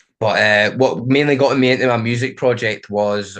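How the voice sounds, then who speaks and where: A man talks with a Scottish accent. His intonation is fairly even, and the background is quiet. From Scotland. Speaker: DJ and music producer. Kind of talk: interview. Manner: casual, many fillers.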